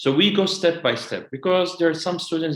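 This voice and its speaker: At a moderate pace, a man with an Arabic accent speaks in a high pitch. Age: 20s. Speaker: educational consultant. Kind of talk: webinar presentation. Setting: online webinar.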